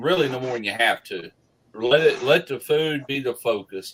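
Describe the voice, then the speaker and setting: A medium-pitched man with a Southern US accent. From US South. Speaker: barbecue YouTuber. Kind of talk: casual chat. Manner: slow.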